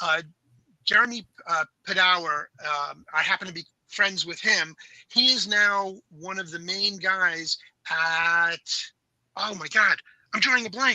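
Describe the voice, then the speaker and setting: A man's high, raised and projected voice at a fairly slow pace, with long, frequent pauses, big swings in loudness, ordinary pitch variation and a dry, close sound with no echo. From New York, Long Island. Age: 60s. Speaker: toy industry veteran. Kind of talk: casual chat.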